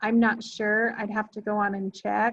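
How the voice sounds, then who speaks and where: A woman speaks at a moderate pace in a somewhat breathy voice. Her pitch is fairly high. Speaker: genealogy class teacher. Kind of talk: lecture. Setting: classroom with Zoom audience.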